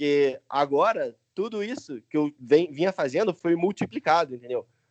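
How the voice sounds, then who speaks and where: Lively intonation marks this man's speech, recorded dry and close with no echo. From Brazil, Niterói (Rio de Janeiro). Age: 20s. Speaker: English teacher and YouTuber. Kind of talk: casual interview.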